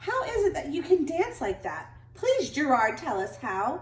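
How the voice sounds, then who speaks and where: A woman's squeaky, high-pitched put-on character voice with very wide pitch swings at a moderate pace, plus slight echo and clear background noise. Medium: read story.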